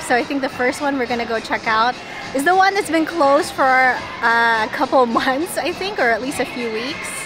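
Clear music plays in the background as a woman talks at a moderate pace, the sound dry with no echo. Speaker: theme park vlogger. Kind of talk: casual vlog chat. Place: street. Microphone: phone near.

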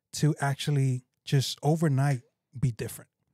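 Over a quiet background, a man with a somewhat breathy, dark, mellow tone speaks at a moderate pace and fairly high pitch, the sound dry with no echo. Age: 30s. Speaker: pastor. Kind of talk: casual chat. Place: studio. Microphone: studio mic.

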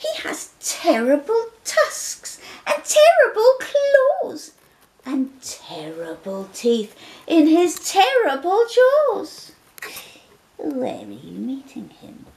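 A put-on character voice, high in pitch, at a very slow pace with long, frequent pauses. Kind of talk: bedtime story.

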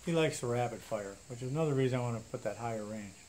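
Very fast and with lively intonation, a man talks over light background noise. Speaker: gun enthusiast YouTuber. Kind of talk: casual vlog talk. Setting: in a barn at home range. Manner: rambling, conversational with fillers. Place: garage.

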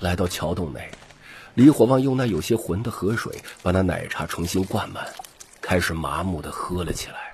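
At a moderate pace, a man talks in a low pitch with lively intonation.

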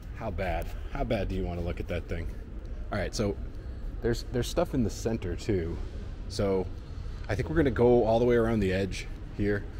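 Over light background noise, a man with a fairly low pitch speaks at a fairly quick pace with ordinary pitch variation. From United States, Chicago. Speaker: travel vlogger. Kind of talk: vlog walkthrough. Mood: enthusiastic, curious. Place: hall. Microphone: phone near.

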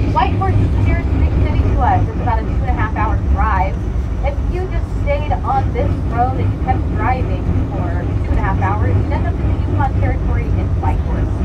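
Against loud background noise, a woman speaks at a fairly quick pace. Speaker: bus tour guide. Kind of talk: tour guide commentary. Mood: friendly, joking. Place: bus.

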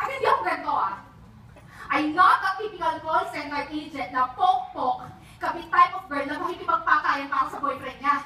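A woman speaks in a raised, projected voice. Light background noise and audible room echo are present. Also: fairly quick pace. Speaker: stage actor. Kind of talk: theatrical monologue. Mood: emotional, confessional, bitter. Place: stage. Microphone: camera far.

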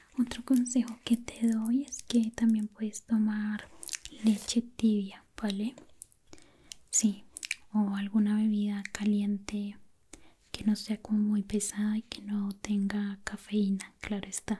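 Soft-spoken and somewhat breathy, a woman talks at a very slow pace in a dark, mellow tone with monotone, flat intonation. Light background noise sits behind her. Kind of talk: soft-spoken roleplay chat. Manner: soft, hushed ASMR voice. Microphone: studio mic.

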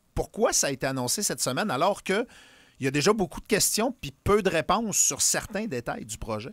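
A man with a Quebec accent talks fairly quickly in a high voice, with very wide pitch swings and big swings in loudness. The sound is dry, with no echo. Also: quiet background. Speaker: radio host. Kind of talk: casual radio interview. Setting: studio. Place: studio. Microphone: studio mic.

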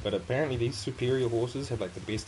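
Speaking with a New Zealand accent, a man moves at a fairly quick pace with ordinary pitch variation. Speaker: gaming streamer. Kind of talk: casual gameplay commentary. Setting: online stream, home recording. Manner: casual, chatty.

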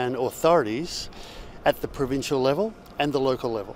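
Over light background noise, a man speaks at a moderate pace with ordinary pitch variation, and the sound is dry with no echo. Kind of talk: interview answer. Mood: calm, positive. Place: street. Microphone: lapel.

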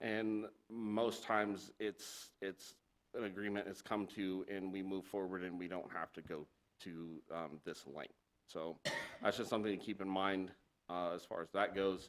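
Very deep and low, a man's voice moves at a fairly slow pace with fairly even intonation. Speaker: city building official. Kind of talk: presentation to city council. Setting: council meeting room, streamed online. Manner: halting, many fillers; loud. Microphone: too far from mic, hard to hear online.

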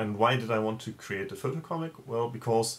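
Speaking at a moderate pace, a man with a German accent has a fairly low pitch. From Germany. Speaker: comic creator. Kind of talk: video interview answer. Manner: halting, with filler words. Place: home room. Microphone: webcam.

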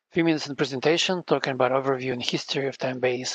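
A man speaks at a medium pitch and a fast pace. His pitch variation is ordinary.

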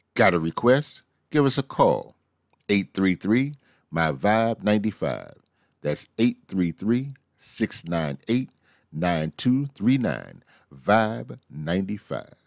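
At a very slow pace, a man with a fairly low pitch speaks with lively intonation, captured in a very clean recording with a silent background and a dry, close sound with no echo. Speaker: radio host. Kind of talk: radio air check promo.

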